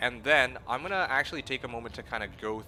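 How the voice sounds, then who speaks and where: This man has a Canadian accent and a bright, sharp tone. He talks at a fairly quick pace. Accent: Canadian accent, close to American. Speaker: video game streamer. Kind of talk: casual live-stream chat. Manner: halting, many fillers and restarts.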